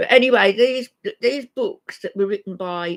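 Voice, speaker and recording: A woman with an English accent at a moderate pace, in a dry, close sound with no echo. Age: 70s. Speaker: YouTube live streamer. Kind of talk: casual live-stream chat.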